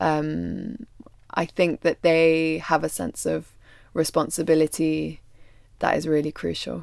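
A woman speaks at a fairly slow pace with a London accent. The recording is very clean, with a silent background. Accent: southern English (London). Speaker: documentary photographer and filmmaker. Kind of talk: interview conversation.

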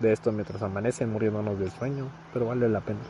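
A man with a medium pitch speaks at a very fast pace with fairly even intonation. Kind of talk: casual chat.

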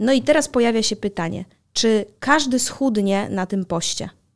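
A woman with a normal speaking voice, fairly high in pitch, at a moderate pace, in a very clean recording with a silent background. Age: 30s. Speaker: podcast host. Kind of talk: casual chat.

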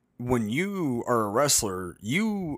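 A man with an American accent and an ordinary speaking voice, medium pitch and lively intonation, in a very clean recording with a silent background. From Las Vegas, US. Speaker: professional wrestler and podcast co-host. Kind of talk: casual chat.

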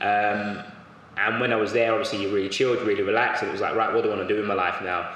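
Amid audible room echo and noticeable background noise, a man speaks very fast with hardly any pauses, a fairly low pitch and monotone, flat intonation. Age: 20s. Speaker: strength and conditioning coach. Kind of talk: casual chat.

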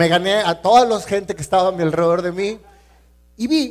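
Lively intonation marks this man's high-pitched voice as he speaks at a fairly quick pace. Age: 40s. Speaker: entrepreneur and motivational speaker. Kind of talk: inspirational talk. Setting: stage with audience.

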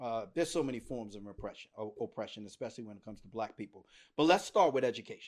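A man with an American accent at a very fast pace, medium in pitch, with lively intonation and big swings in loudness, in a very clean recording with a silent background. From Washington, D.C. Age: 50s. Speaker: podcast co-host. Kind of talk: casual chat.

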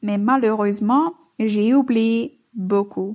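A woman speaks very slowly with a Flemish accent. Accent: Dutch-speaking Belgian accent in French. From Flanders, Belgium (Bruges). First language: Dutch (speaking French). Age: 20s. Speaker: listener, French learner. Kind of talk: recorded listener message.

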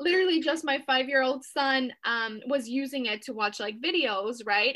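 A woman's high-pitched, bright and sharp voice, raised and projected, at a moderate pace. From Mexico, raised in San Diego, California. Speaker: TikTok coach. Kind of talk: casual interview. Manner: animated, many fillers.

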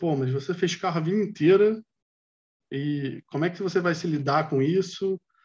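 This is a normal speaking voice at a moderate pace. The pitch varies in an ordinary way. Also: man. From Brazil, Rio de Janeiro. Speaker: industrial designer. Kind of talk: casual chat.

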